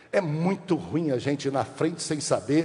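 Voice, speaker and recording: Noticeable background noise fills the recording. Through it, a man's voice is heard. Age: 60s. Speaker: pastor. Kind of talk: sermon.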